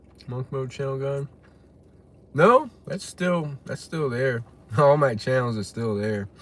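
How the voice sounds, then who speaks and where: A man speaks fairly slowly with an American accent at a medium pitch, pausing often and at length. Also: ordinary pitch variation. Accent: Texan accent, noticed by chat. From West Texas. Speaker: live streamer. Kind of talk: casual live stream chat, reading comments.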